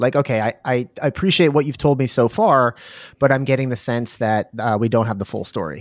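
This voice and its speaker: Recorded very cleanly against a silent background, a man speaks at medium pitch with ordinary pitch variation. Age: 40s. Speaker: podcast host. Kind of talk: casual chat. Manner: halting.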